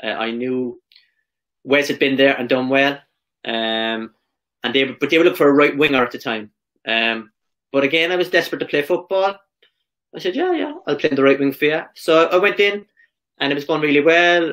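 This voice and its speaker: A man speaks at a fairly quick pace with ordinary pitch variation. He takes long, frequent pauses against a quiet background. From Ireland. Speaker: professional footballer; podcast guest. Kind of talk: casual interview. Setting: video call. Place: home room.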